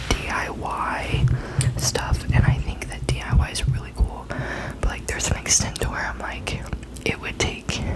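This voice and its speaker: Someone whispers at a moderate pace against noticeable background noise. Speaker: ASMR content creator. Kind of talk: casual ASMR whispered talk to camera, sharing opinions.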